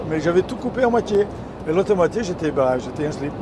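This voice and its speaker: Noticeable background noise runs through the clip. The voice belongs to a man. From Italy (Ferrara). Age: 70s. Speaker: truck driver. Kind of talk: casual interview. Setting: in a truck.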